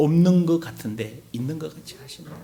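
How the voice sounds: Over noticeable background noise, a man in a Gyeongsang accent talks at a moderate pace with a high pitch and lively intonation.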